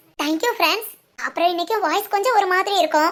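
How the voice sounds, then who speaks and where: A woman's extremely high-pitched voice with ordinary pitch variation. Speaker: animation channel creator and voice artist. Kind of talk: casual address to viewers.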